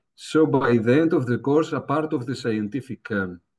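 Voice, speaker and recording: This man has a Greek accent and a medium-pitched voice. He talks at a fairly slow pace with ordinary pitch variation. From Greece. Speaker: professor. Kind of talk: lecture. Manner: hesitant, many fillers.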